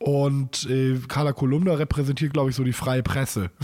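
Somewhat breathy, a man talks at a medium pitch. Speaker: podcast co-host. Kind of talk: casual chat.

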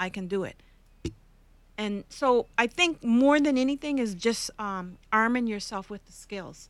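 An ordinary speaking voice moves at a fairly slow pace, with lively intonation and big swings in loudness, on a very clean recording with a silent background. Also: woman, fairly high pitch for a woman. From Canada. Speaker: podcast host, workplace commentator. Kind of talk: interview podcast.

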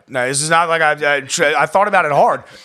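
A man with an American accent talks at a fairly quick pace in a bright, sharp tone, with ordinary pitch variation. The recording is very clean, with a silent background. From Maryland, Baltimore County. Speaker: healthcare executive in addiction recovery. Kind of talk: personal testimony in interview.

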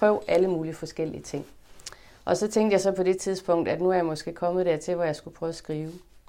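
A woman with a fairly low pitch talks very fast, with fairly even intonation. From northern Jutland, Denmark (Limfjord area). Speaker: author and translator. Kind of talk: interview conversation at a library event.

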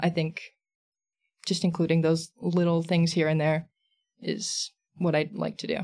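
With an American accent, a woman speaks at a fairly slow pace with long, frequent pauses, a fairly low pitch, a dark, mellow tone and fairly even intonation. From Texas, San Antonio. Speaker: comics creator and illustrator. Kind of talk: casual interview chat.

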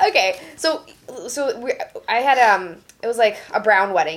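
Speaking at a moderate pace, a woman uses lively intonation in a normal speaking voice. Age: 20s. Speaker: comedian. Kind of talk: casual chat.

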